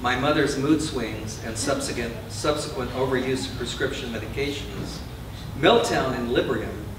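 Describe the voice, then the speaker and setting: The speech moves at a moderate pace with fairly even intonation. Audible room echo and noticeable background noise fill the recording. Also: man. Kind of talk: public reading. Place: shop. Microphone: camera far.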